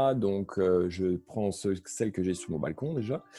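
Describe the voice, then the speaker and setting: The man's tone is dark and mellow. His pitch is fairly low, with ordinary variation. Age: 40s. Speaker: spiritual practitioner and occult shop owner. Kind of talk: casual interview chat. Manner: hesitant, many fillers.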